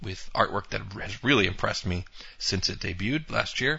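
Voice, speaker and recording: An ordinary speaking voice with an American accent moves at a moderate pace and carries lively intonation. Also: man. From US Northeast (Poughkeepsie, New York). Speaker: webcomic creator and podcast host. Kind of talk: solo podcast monologue. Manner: casual, with filler words.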